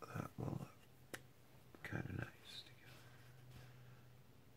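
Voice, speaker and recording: Whispering, a man speaks at a very slow pace. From Canada. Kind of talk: ASMR whisper. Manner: whispered, soft-spoken.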